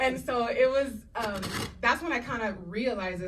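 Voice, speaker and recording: A woman at a fairly quick pace with lively intonation, audible room echo around her. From Puerto Rico and Dominican Republic. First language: Spanish. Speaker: actress and showrunner. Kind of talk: panel discussion. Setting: stage with audience. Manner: animated.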